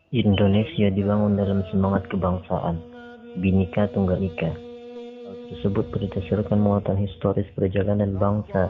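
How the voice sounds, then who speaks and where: With music in the background, a man speaks at a moderate pace in a fairly low pitch and monotone, flat intonation. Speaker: radio announcer. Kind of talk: documentary narration.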